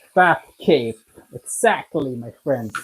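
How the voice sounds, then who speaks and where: A Swedish accent at a very slow pace. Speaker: home cooking video maker. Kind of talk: live cooking stream. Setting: kitchen, live stream. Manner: casual, conversational.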